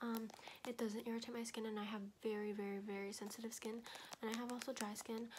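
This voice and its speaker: A soft-spoken woman at a very fast pace, with monotone, flat intonation and noticeable background noise. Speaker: ASMR creator. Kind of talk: ASMR video. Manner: soft-spoken, fast. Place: home room. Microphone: phone near.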